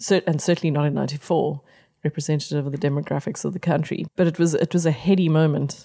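A woman's very deep, low, dark and mellow voice with vocal fry and fairly even intonation, in a very clean, dry, close recording with no echo and a silent background. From South Africa, Pretoria. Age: 50s. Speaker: festival co-founder. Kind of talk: interview conversation.

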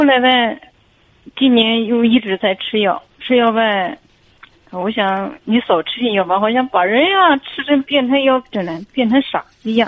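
Speaking fairly slowly, a woman uses an ordinary speaking voice, fairly high in pitch with lively intonation. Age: 40s. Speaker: caller. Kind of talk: phone-in advice talk.

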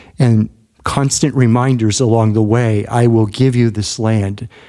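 In a dark, mellow tone, a man speaks at a fairly slow pace with fairly even intonation. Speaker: podcast host. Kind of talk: casual discussion podcast.

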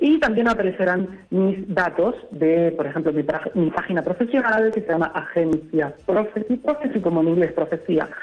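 A man speaks at a moderate pace and very even loudness, with music playing in the background. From Canary Islands. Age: 20s. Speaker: translator and interpreter. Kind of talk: interview.

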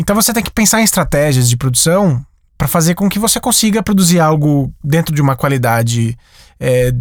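A man's fairly high voice at a moderate pace, with very wide pitch swings, on a very clean recording with a silent background. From interior of São Paulo state, Brazil (Sumaré). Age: 30s. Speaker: animator and animation studio director. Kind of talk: interview.

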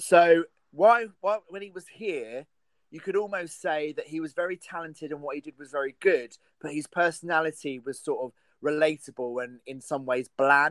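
A man with a southern English accent speaks at a moderate pace with a fairly high pitch and ordinary pitch variation. His loudness swings a lot, and the sound is dry and close with no echo. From England. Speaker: film podcast host. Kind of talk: casual chat.

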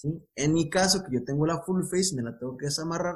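A man speaks in a somewhat breathy voice. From Mexico, Guadalajara. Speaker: intensive care physician. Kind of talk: casual interview chat.

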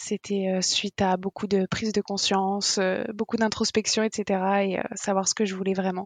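With a dry, close sound and no echo, a woman talks at a moderate pace in a monotone, flat intonation, at medium pitch and very even loudness. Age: 20s. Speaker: restaurant owner. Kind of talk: interview.

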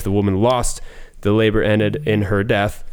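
A man's fairly low voice at a fairly quick pace. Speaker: returning guest. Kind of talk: casual chat.

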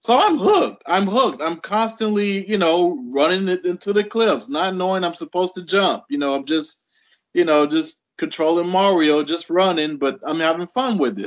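This man has a high pitch and ordinary pitch variation, talking at a moderate pace with hardly any pauses. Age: 30s. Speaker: games writer. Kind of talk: casual chat.

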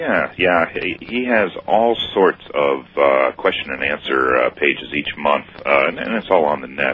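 Over noticeable background noise, a man with a very deep, low voice and an American accent talks at a fairly slow pace with lively intonation. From US Midwest, Ohio. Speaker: caller. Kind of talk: radio call-in. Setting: phone call.

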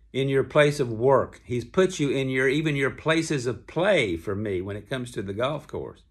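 A man at a medium pitch, moderate pace and lively intonation, in a Southern US accent, on a very clean recording with a silent background. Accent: Southern American. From US South, Kentucky. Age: 70s. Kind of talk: devotional talk. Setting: hotel room. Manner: relaxed conversational.

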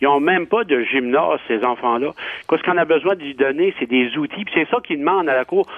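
A man talks at a fairly quick pace with lively intonation in an unremarkable speaking voice. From Acadia, New Brunswick. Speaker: member of parliament. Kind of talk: radio panel discussion.

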